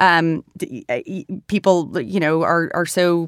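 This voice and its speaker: On a very clean recording with a silent background, a woman has a plain, everyday voice, pitched fairly low and varying in an ordinary way. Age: 30s. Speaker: founder of a digital political nonprofit. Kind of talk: interview.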